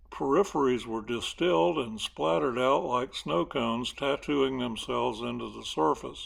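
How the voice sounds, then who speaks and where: With a South Carolina accent, a man talks at a moderate pace, his pitch swinging very widely, on a very clean recording with a silent background. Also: medium pitch for a man, hardly any pauses. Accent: South Carolina Southern. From US South. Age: 70s. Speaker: local history narrator. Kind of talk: scripted narration.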